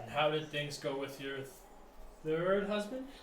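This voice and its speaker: In a put-on character voice with a slight echo, a man speaks at a fairly high pitch and a moderate pace. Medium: actual play. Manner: blunt, dry.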